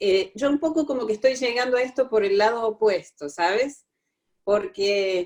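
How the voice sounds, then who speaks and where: A woman's fairly high voice in a Córdoba Argentine accent, with lively intonation at a fairly slow pace. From Córdoba, Argentina. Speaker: workshop participant. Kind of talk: personal testimony. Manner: halting.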